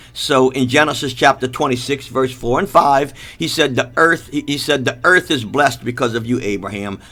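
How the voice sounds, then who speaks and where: Loud and with hardly any pauses, a man speaks in a bright, sharp tone with ordinary pitch variation. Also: medium pitch for a man. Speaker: preacher. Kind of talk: sermon. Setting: live stream. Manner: fast.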